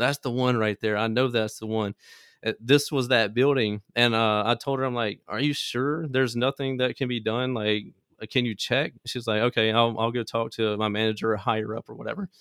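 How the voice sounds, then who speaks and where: Here a man with an American accent has an unremarkable speaking voice at medium pitch. He talks at a fairly quick pace with fairly even intonation. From US South, Mississippi Delta (Greenville). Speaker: small business owner, car audio entrepreneur. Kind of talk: interview, casual storytelling.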